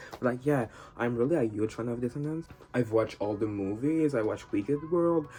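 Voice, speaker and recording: A man with a non-native accent talks at a fairly quick pace. His voice sits at a medium pitch with ordinary pitch variation. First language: not English. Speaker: YouTuber, fan commentator. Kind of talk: casual monologue. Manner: casual, filler-heavy.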